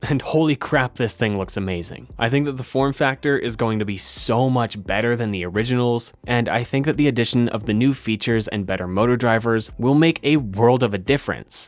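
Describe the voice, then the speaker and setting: A man with a plain, everyday voice at a medium pitch, ordinary pitch variation and a fairly quick pace. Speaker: electronics maker YouTuber. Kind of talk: narrated build tutorial.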